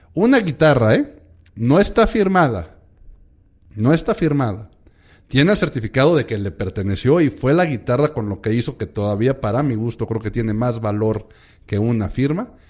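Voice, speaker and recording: A man speaks in a normal speaking voice at a medium pitch and moderate pace, with lively intonation. The recording is very clean, the background silent. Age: 40s. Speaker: podcast host. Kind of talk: casual chat.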